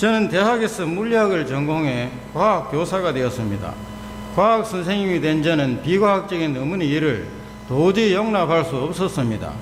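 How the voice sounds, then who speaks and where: This voice carries a strong Gyeongsang accent and lively intonation at a moderate pace, with audible room echo and noticeable background noise. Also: man, high pitch for a man. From Gyeongsang region, South Korea (Daegu). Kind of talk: faith testimony talk in church.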